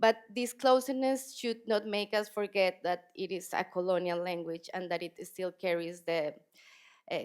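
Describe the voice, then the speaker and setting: A woman at a moderate pace, fairly low in pitch, with a Spanish accent. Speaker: poet. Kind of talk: panel conversation.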